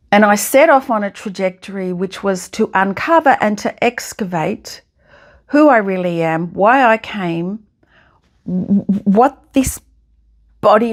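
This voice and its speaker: Lively intonation comes through at a very slow pace with long, frequent pauses on a very clean recording with a silent background. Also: woman. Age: 70s. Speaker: podcast host. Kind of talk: reflective monologue.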